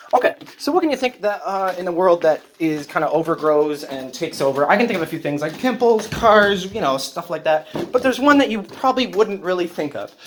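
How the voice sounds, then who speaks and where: Someone talks at a fairly quick clip. Background noise is noticeable throughout. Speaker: comedy vlogger. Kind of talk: casual vlog monologue.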